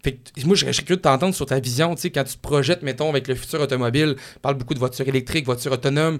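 The speaker has a Quebec accent. The intonation stays fairly even. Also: man, very clean recording, silent background. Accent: Québécois French. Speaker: radio car podcast host. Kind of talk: casual interview chat.

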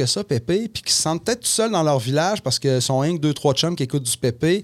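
The sound is dry and close, without any echo. The words come out at a very fast pace. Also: man, very clean recording, silent background. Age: 40s. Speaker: musician. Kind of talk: casual chat. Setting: studio.

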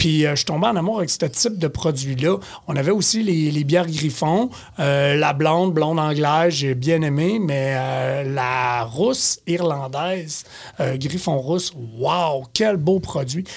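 This man has a fairly high voice with ordinary pitch movement, and he speaks very slowly. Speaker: beer columnist and store beer expert. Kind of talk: casual chat.

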